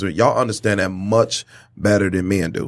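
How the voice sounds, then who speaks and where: Vocal fry marks this voice. The background is silent, and the recording is very clean. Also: man. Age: 40s. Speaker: podcast host. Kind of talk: casual chat.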